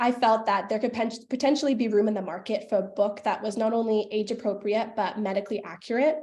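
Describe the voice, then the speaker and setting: A woman with a Canadian accent talks at a very fast pace. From western Canada (Calgary, Alberta). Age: 20s. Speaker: paramedic and youth ambassador presenting a project. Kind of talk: project presentation. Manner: animated.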